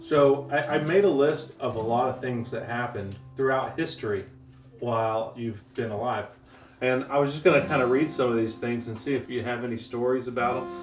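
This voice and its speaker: With music in the background, a man speaks at a moderate pace and a medium pitch, with ordinary pitch variation. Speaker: interviewer, grandchild. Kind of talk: interview questions.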